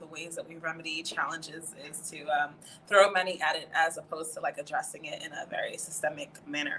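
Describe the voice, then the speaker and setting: The recording has noticeable background noise. A woman with an American accent talks at a fairly quick pace. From New York. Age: 20s. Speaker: student affairs administrator. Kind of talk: podcast interview.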